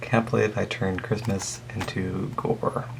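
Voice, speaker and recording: Fairly slow speech from a man at a medium pitch, against noticeable background noise. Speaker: artist vlogger. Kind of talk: casual sketchbook tour. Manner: hesitant, many fillers.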